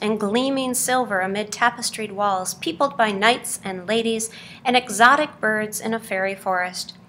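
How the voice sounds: The words come in a natural reading voice.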